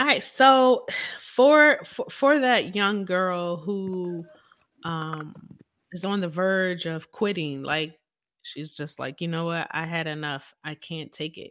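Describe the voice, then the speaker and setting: A woman with an American accent, fairly low-pitched, at a very slow pace, with lively intonation and big swings in loudness, in a very clean recording with a silent background. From Philadelphia. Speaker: podcast host and preacher. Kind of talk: casual interview chat. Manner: animated.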